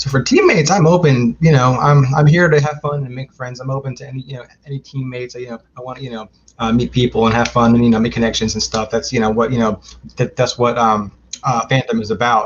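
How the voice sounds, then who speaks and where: A man with an American accent talks at a very fast pace in a medium-pitched, somewhat breathy voice with fairly even intonation. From Maryland, US. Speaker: filmmaker and trivia competitor. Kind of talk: interview. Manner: halting, many fillers.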